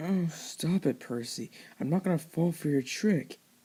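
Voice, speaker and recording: The voice is a put-on character voice. Its pitch sits in the middle range. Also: moderate pace. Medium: read story.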